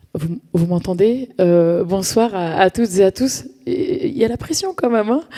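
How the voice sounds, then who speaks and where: Very wide pitch swings from a woman at a fairly slow pace, against noticeable background noise. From France, Paris suburbs (Val-d'Oise, Cergy). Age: 40s. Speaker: community activist. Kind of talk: conference talk. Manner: hesitant, many fillers and repetitions.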